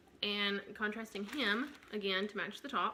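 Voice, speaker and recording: Speaking at a fairly slow pace, a woman has a fairly high pitch. She talks with a Southern US accent. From Tennessee. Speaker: knitting podcaster. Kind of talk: casual show-and-tell vlog. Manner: many fillers, hesitant.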